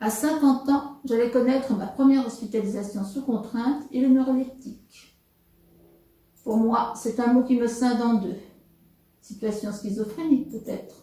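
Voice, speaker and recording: A woman with a high pitch and a dark, mellow tone speaks at a fairly slow pace with fairly even intonation. Long, frequent pauses break her speech, and audible room echo surrounds it. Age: 70s. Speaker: interviewee with psychiatric experience. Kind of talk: testimony. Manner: formal.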